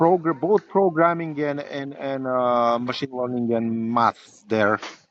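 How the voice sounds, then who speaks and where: A man with a non-native accent talks very slowly at a medium pitch, his pitch varying in an ordinary way. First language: not English. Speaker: software engineering professor and library developer. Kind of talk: interview. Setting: outdoors by a river. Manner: halting, many repetitions and fillers.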